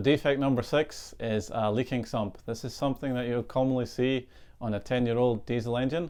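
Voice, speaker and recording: Speaking in a Scottish accent, a man at medium pitch keeps a fairly quick pace and fairly even intonation. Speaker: boat surveyor. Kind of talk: tutorial.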